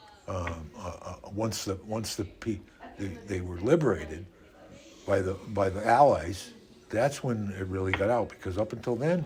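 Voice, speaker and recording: Somewhat breathy and fairly low, a man's voice moves at a moderate pace with ordinary pitch variation. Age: 70s. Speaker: interviewee. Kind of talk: interview. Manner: halting, many repetitions.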